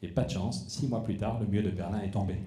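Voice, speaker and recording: Talking at a very fast pace, a man has a fairly low pitch and a dark, mellow tone. His voice is somewhat breathy, and room echo is audible. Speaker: politician. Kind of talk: closing speech at a public debate. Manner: animated.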